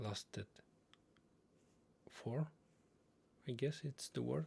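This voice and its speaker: A man talks with a non-native accent. His voice is somewhat breathy. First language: not English. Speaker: streamer reading and commenting on online posts. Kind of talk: livestream commentary on read-out posts. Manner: halting, with fillers and repetitions.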